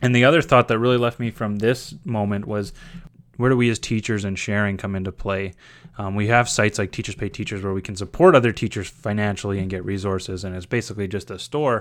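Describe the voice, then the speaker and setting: A man with a Canadian prairie accent talks at a very fast pace in a fairly low voice. His intonation stays fairly even on a very clean recording with a silent background. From Saskatchewan, Canada (small town). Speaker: teacher and graduate student. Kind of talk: scripted narration. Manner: casual, with fillers.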